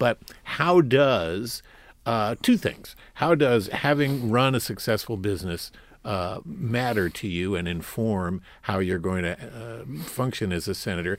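This man has a normal speaking voice, medium in pitch, with lively intonation at a fairly slow pace. The recording is very clean, with a silent background. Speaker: public radio host. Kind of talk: radio interview. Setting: studio.

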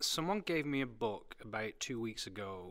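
The voice carries a British accent at a moderate pace. The recording is very clean, with a silent background. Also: man. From Britain. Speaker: museum director. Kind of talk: interview.

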